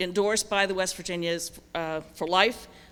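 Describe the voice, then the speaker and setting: A woman's voice sounds bright and sharp in tone. She speaks at a fairly slow pace with fairly even intonation. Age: 60s. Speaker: judicial candidate. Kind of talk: campaign speech.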